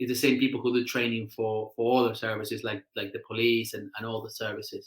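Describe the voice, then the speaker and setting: This man has a medium-pitched voice with a bright, sharp tone. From South America. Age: 30s. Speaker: firefighter. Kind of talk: casual interview. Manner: halting, many repetitions and fillers.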